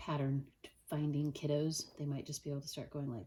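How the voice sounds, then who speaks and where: A woman with a dark, mellow tone and a very deep, low pitch speaks at a moderate pace. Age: adult. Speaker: Montessori teacher. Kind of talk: tutorial.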